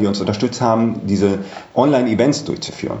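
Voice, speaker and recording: There is noticeable background noise and audible room echo as a man talks. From Germany, Düsseldorf (Rhineland). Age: 40s. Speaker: hotel manager. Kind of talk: interview.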